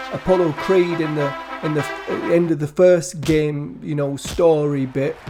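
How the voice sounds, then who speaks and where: Music plays in the background behind a man's voice. He speaks with a high pitch in a northern English accent. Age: 70s. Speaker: gaming youtuber. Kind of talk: casual chat. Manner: halting.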